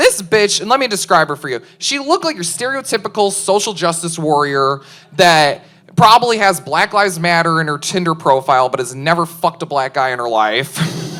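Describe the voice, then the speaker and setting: The speaker has a Chicago accent and a bright, sharp tone. The pace is moderate. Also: woman. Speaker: stand-up comedian. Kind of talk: stand-up. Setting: stage with audience.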